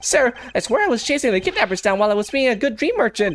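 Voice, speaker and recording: A put-on character voice, fairly high in pitch, at a very fast pace. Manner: agitated, worked up.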